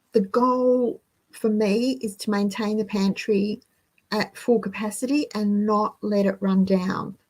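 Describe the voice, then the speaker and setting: A woman with an Australian accent speaks at a fairly slow pace in a fairly high, somewhat breathy voice. Her intonation stays fairly even, and the recording is very clean with a silent background. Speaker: frugal living channel host. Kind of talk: live stream monologue.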